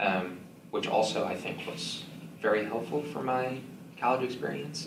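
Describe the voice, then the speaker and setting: A man talks, his pitch rising and falling in an ordinary way. Noticeable noise runs in the background. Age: 20s. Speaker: selective mutism speaker sharing lived experience. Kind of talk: support group talk and Q&A. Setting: meeting room, live audience.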